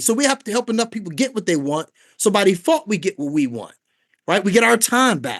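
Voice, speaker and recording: A man with an American accent, an animated tone and very wide pitch swings, against a quiet background. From Washington D.C. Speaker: network marketing recruiter. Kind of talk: sales pitch. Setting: video call. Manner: fast.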